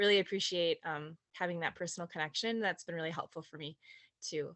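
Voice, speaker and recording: A woman speaks with a Minnesotan accent. Her pitch is fairly low and her intonation fairly even. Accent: Minnesota. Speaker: direct sales consultant. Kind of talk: casual sharing in team meeting.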